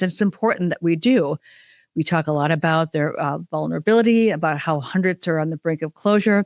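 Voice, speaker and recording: A woman with an American accent talks at a fairly quick pace and fairly low pitch with ordinary variation, captured dry and close with no echo on a very clean recording with a silent background. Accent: Minnesota accent, comes out at times. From Minnesota. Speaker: podcast host. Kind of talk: podcast interview with scripted intro.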